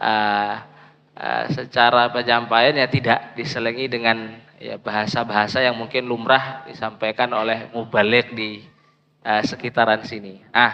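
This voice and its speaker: The speaker is a man at medium pitch. He talks at a fairly slow pace with monotone, flat intonation. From Indonesia, Medan (North Sumatra). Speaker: Islamic preacher and teacher. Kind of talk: religious lecture. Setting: mosque.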